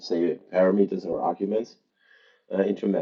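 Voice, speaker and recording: A man speaks at a moderate pace in a fairly low voice, with a German accent. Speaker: programming tutor. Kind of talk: tutorial. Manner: halting.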